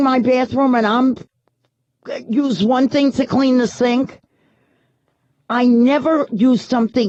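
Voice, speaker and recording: With a strong New York accent, a woman speaks in a high voice at a fairly slow pace and very even loudness, leaving long, frequent pauses. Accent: thick New York. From New York City. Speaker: radio talk show host. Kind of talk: talk radio monologue.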